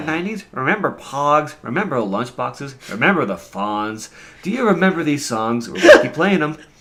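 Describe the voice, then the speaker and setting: This man's voice sits at a fairly high pitch and moves through very wide pitch swings. Noticeable background noise runs under it. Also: moderate pace. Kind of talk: casual podcast discussion.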